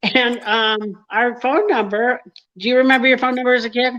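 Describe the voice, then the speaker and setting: A high-pitched woman at a moderate pace, her loudness very even. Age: 60s. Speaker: comedian. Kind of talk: casual chat.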